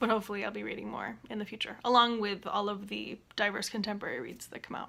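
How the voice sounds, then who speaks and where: Over noticeable background noise, a woman talks at a very fast pace with fairly high pitch and ordinary pitch variation. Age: 20s. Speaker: bookseller and student. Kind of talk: casual talk to camera.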